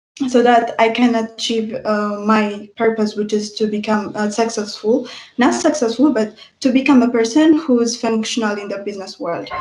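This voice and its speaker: Speaking at a moderate pace, a woman with a non-native accent uses a fairly high pitch and fairly even intonation. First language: not English. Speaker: university student. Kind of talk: student testimony in online info session. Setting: livestream. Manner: halting, many filler sounds.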